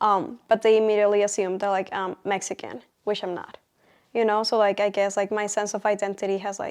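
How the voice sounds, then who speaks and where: A woman with a Colombian accent speaks at a fairly quick pace in a medium pitch, her intonation flat and monotone. The recording is very clean, with a silent background. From Colombia, Bogota. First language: Spanish. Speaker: college student. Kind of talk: interview answers. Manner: hesitant, many fillers.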